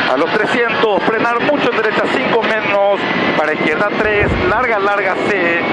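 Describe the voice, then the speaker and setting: Speech unfolds at a fairly slow pace. Loud background noise is present. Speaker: rally co-driver. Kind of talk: rally co-driver reading pace notes aloud. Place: car. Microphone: helmet.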